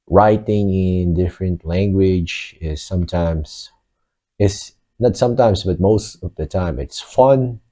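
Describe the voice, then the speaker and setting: Over a quiet background, a man with a Filipino accent talks at a very slow pace in a very deep, low pitch. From Philippines. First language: Filipino (Tagalog). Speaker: vlogger. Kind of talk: casual monologue. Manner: hesitant, with fillers.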